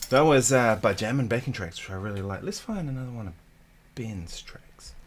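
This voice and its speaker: A man with a New Zealand accent, medium in pitch, at a fairly quick pace, relaxed in tone, with lively intonation and big swings in loudness. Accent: Kiwi. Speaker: guitarist. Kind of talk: casual livestream chat. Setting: home studio. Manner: relaxed, casual.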